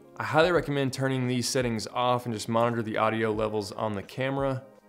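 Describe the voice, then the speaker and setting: Music plays in the background as a man talks at a very fast pace. His intonation stays fairly even. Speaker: video tutorial host. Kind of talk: tutorial. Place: home room.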